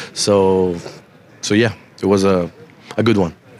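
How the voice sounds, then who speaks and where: A man's fairly low, fairly evenly intoned voice at a very slow pace, with noticeable background noise. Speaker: professional footballer. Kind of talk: post-match interview answer.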